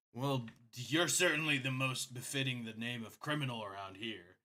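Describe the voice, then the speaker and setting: In a put-on character voice, a raspy man talks at a moderate pace with medium pitch, ordinary pitch variation and big swings in loudness. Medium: actual play. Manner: stammering.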